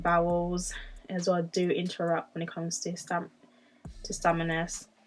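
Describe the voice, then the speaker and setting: Medium-pitched speech from a woman, music playing in the background. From Jamaica. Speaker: vlogger. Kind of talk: casual chat. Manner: halting.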